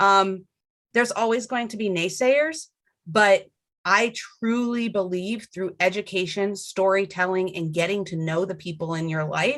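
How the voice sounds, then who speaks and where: At a moderate pace, an unremarkable speaking voice carries on with ordinary pitch variation. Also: woman. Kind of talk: podcast interview.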